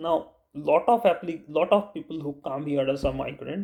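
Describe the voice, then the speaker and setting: Here a man talks with an Indian accent. His pace is fairly slow. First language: Bengali. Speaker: YouTuber. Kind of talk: vlog advice talk. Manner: halting.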